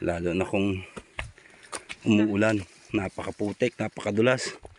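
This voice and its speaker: A man's fairly low pitch with fairly even intonation at a moderate pace, over noticeable background noise. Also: dry, close sound with no echo. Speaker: vlogger. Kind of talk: casual vlog talk.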